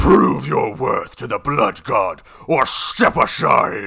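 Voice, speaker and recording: The man's delivery is very slow. He is using a put-on character voice. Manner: gruff, taunting.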